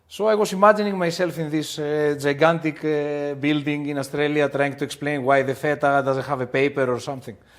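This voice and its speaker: A man talks at a fairly quick pace with a Greek accent and hardly any pauses. His pitch is fairly high and his intonation fairly even. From Greece. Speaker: restaurant owner. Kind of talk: podcast interview. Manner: halting, with many fillers.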